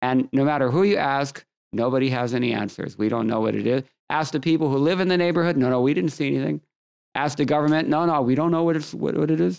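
A man with an American accent talks at a very fast pace with ordinary pitch variation over a quiet background. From US West Coast, Los Angeles. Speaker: scripture teacher. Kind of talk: lecture. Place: home room. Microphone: studio mic.

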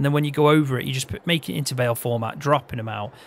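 A man with a Midlands accent, a fairly high pitch, ordinary pitch variation and a very fast pace. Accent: Midlands, often taken for northern English. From English Midlands, Peak District. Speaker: gaming video creator. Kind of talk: casual chat while playing and teaching a game.

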